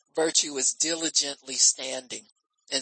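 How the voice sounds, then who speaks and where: Animated in tone, a woman talks in a very deep, low pitch with ordinary pitch variation. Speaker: preacher. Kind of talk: sermon, teaching-style preaching to a live congregation. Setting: church. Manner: animated, conversational preaching, calling for amens; folksy and teasing, frequent repeated amens and fillers.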